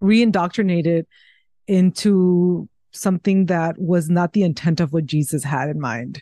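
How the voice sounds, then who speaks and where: This voice has a dark, mellow tone and ordinary pitch variation, moving at a moderate pace in a dry, close sound with no echo. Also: woman, fairly low pitch for a woman. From Mexico. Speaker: professor and author. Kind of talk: interview conversation.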